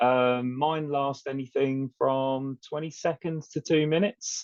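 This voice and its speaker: The speaker has a British accent and talks at a fairly slow pace with fairly even intonation. The sound is dry and close, with no echo. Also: man. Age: 40s. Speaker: HR manager with epilepsy. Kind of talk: podcast interview.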